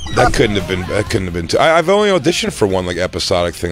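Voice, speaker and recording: A man speaks with fairly even intonation. The sound is dry with no echo, and light background noise is present. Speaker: radio host. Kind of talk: casual chat. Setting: studio. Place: studio.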